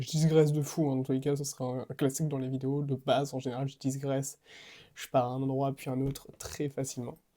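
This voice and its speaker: A man with a dark, mellow tone and a fairly high pitch speaks in a monotone, flat intonation. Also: fairly quick pace. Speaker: fitness coach. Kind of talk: casual vlog monologue. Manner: fast; hesitant, many fillers.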